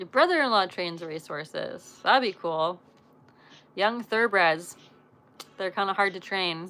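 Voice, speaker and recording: With a western Canadian accent, the speaker uses a bright, sharp, animated tone broken by long, frequent pauses. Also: woman, medium pitch for a woman, ordinary pitch variation, fairly slow pace. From western Canada. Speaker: live streamer, former pro show jumper. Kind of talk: casual live stream chat.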